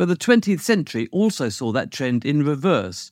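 In a British accent, a man speaks with very wide pitch swings. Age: 50s. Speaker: podcast host and insurance lawyer. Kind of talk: scripted narration.

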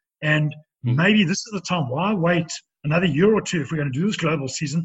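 A man speaks with a South African accent at a fairly high pitch. His pitch varies in an ordinary way, and his pace is fairly quick. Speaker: former professional rugby player. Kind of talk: interview. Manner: halting.

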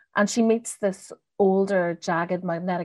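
In a dry, close, very clean recording with a silent background, a woman with a Northern Irish accent talks at medium pitch with fairly even intonation. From Northern Ireland. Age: 40s. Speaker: novelist. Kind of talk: casual interview chat.

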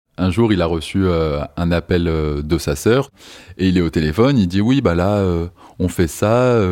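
A man with a very deep, low pitch and a dark, mellow tone talks at a fairly slow pace with long, frequent pauses and ordinary pitch variation. The recording is very clean, with a silent background. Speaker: partner telling his story. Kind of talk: personal testimony.

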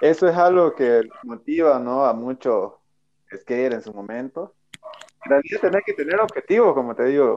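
An unremarkable speaking voice from a man, fairly high in pitch, with lively intonation, big swings in loudness and a moderate pace. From Bolivia. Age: 30s. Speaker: skateboarder. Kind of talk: interview.

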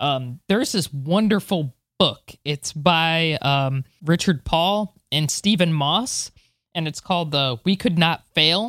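In an American accent, a woman with a fairly low pitch and lively intonation speaks very slowly, her voice dry and close with no echo on a very clean recording against a silent background. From United States. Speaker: space podcast co-host. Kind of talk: news reading; casual chat.

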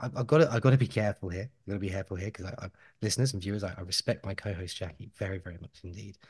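A somewhat breathy man speaks very fast at a fairly low pitch, with ordinary pitch variation. His loudness swings a lot, and the background is quiet. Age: 30s. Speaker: podcast host. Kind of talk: casual chat. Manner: animated.

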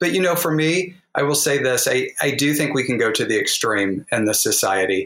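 With a plain, everyday voice and an American accent, a man of fairly high pitch speaks at a moderate pace with lively intonation, very even loudness and hardly any pauses. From US Midwest, southwest Missouri Ozarks. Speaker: author. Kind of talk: interview.

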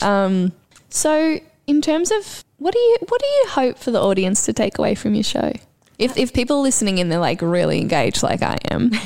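A woman speaks with an Australian accent. Her loudness stays very even. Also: moderate pace. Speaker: podcast host and clown performer. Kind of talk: casual chat. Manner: animated.

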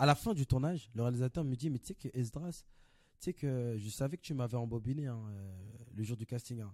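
A man's dark, mellow voice at medium pitch, fairly quick with long, frequent pauses and ordinary pitch variation, dry and close with no echo on a very clean recording with a silent background. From Paris, Belleville. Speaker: actor. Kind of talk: casual chat.

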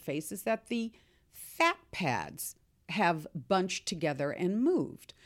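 An unremarkable speaking voice with an American accent and lively intonation. The recording is very clean, with a silent background. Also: woman. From US, Seattle. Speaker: skincare company founder. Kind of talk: interview answering listener questions.

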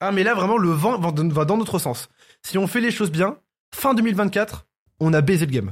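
A man with a high voice speaks at a moderate pace, his intonation lively and his loudness very even. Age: 20s. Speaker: YouTuber and podcast host. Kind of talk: casual chat.

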